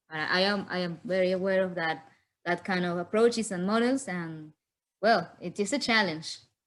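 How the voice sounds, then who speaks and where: The speaker has a Spanish accent and a moderate pace. Pitch varies in an ordinary way over a quiet background. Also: woman, medium pitch for a woman. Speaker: philosopher of science. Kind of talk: conference Q&A. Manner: halting.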